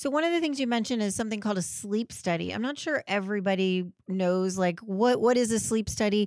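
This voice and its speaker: A woman talks fairly quickly at a fairly high pitch in an ordinary speaking voice. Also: very clean recording, silent background. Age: 50s. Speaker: podcast host, gynecologist. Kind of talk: interview conversation.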